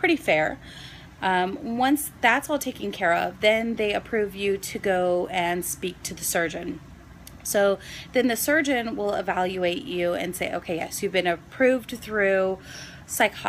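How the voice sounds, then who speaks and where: With a plain, everyday voice, a woman speaks at a fairly slow pace, her medium-pitched delivery carrying lively intonation. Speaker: nurse and vlogger. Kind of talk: casual vlog explanation.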